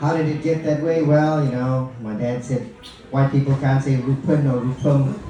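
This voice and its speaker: A man talks at a moderate pace in a room with audible echo and noticeable background noise. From Malaysia. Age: middle-aged. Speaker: comedian. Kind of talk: stand-up. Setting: stage with audience. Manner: animated.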